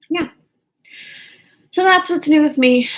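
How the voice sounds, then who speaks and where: A woman with lively intonation. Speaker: PhD student and vlogger. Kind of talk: casual vlog chat. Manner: slow.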